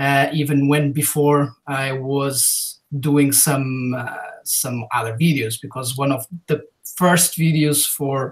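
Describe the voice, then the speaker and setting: Someone with a non-native accent speaks at a very slow pace with fairly even intonation. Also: man, fairly high pitch for a man. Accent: foreign. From Portugal. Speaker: YouTube video creator. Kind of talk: casual interview chat. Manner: halting, many fillers.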